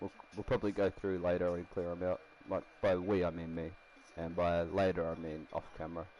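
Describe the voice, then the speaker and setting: Quiet and quick-paced, a man with an Australian accent speaks in a very deep, low pitch with a dark, mellow tone and monotone, flat intonation. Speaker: game streamer. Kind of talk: live stream commentary. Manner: casual, rambling.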